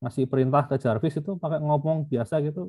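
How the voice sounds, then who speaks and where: A man speaks with a Javanese accent in a dark, mellow, somewhat breathy tone. The sound is dry and close, with no echo. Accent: Javanese (medok). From Yogyakarta, Java, Indonesia. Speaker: university lecturer. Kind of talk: lecture. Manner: casual, filler-heavy.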